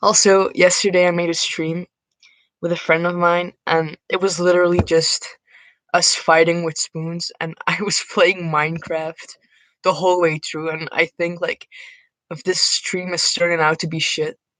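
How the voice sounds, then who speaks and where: In a Dutch accent, a woman speaks at a moderate pace with a fairly low pitch. Her intonation is monotone and flat, and the sound is dry and close with no echo. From Netherlands. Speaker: streamer. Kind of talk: casual chat. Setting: live stream. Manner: talkative, rambling.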